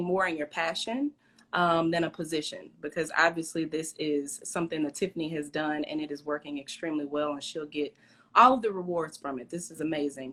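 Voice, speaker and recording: In a Southern accent, the speaker talks at a fairly quick pace with a bright, sharp tone. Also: woman. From US South, East St. Louis area. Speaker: interview host. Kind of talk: casual interview chat.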